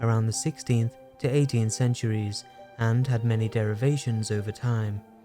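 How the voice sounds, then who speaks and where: Music plays in the background as a man speaks. His pitch is medium and his pace moderate. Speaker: game lore video creator. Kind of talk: lore explainer narration.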